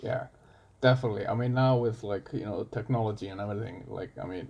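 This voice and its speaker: A man talks very fast at a medium pitch, sounding somewhat breathy. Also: ordinary pitch variation. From Iceland. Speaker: coffee barista. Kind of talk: casual chat.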